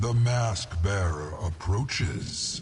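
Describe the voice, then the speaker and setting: A man's put-on character voice at fairly low pitch, with clear background noise. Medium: machinima. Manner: grandiose, riddling.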